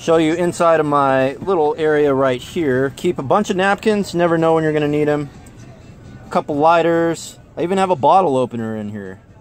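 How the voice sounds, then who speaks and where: A man speaks at a fairly quick pace with ordinary pitch variation, in a dry sound with no echo and faint music in the background. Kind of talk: casual vlog tutorial. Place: car. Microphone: phone near.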